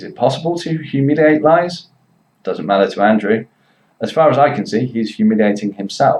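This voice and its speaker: A man with a West Midlands accent speaks at a fairly quick pace, his fairly high voice rising and falling in a lively way. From Worcester, England. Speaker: English teacher. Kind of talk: commentary to camera.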